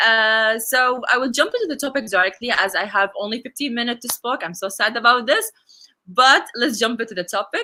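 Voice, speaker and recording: A woman's bright, sharp voice, fairly high in pitch, with an Arabic accent. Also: ordinary pitch variation, fairly quick pace. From UAE. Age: 20s. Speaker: conference speaker, bank technology officer. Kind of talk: conference talk. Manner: halting, many fillers.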